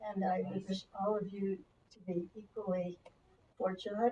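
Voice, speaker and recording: Somewhat breathy, a woman speaks at medium pitch in a dark, mellow tone with fairly even intonation. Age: 90s. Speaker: congregant. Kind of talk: sharing in a service. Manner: halting.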